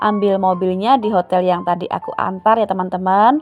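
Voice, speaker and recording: A woman speaks with music in the background. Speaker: vlogger and small shop owner. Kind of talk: casual vlog narration. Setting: at home. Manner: chatty, informal.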